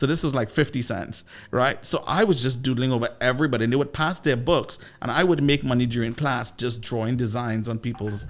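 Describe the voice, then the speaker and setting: With music in the background, a man with a Trinidadian accent speaks in an animated tone at a fairly quick pace, medium pitch and ordinary pitch variation. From Trinidad and Tobago. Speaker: sales coach and former radio DJ. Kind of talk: podcast interview.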